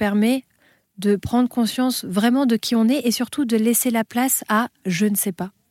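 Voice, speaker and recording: An ordinary speaking voice, fairly slow and fairly even in intonation, on a very clean recording with a silent background. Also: woman. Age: 30s. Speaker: spiritual author. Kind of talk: interview.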